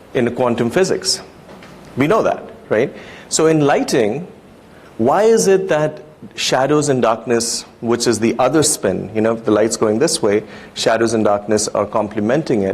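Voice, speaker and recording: Spoken with a non-native accent, the clip carries noticeable background noise and audible room echo. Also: man. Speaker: lighting designer. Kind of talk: conference talk. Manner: hesitant, many fillers.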